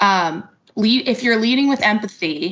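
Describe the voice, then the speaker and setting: With an American accent, a woman uses an ordinary speaking voice at a medium pitch with ordinary pitch variation. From US suburbs. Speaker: podcast host. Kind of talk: podcast interview.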